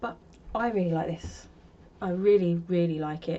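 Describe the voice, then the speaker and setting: A woman talks at a fairly low pitch in a monotone, flat way. Noticeable background noise runs underneath. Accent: London. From London, North London. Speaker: crochet podcaster. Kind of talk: casual chat. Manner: casual, chatty.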